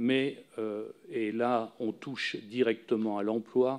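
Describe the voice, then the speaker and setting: The man's tone is dark and mellow, at a medium pitch. His intonation is fairly even. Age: 60s. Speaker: retired farmer and farm union leader. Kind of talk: parliamentary hearing testimony. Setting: parliamentary committee room. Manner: halting, many filler sounds.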